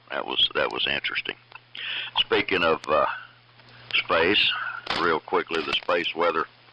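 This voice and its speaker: A man speaks with an Appalachian accent at a fairly slow pace, leaving long, frequent pauses. Noticeable background noise is present. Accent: Southern US (Appalachian). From East Tennessee. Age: 70s. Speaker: ham radio net control operator. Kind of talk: amateur radio round table. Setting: amateur radio AM transmission.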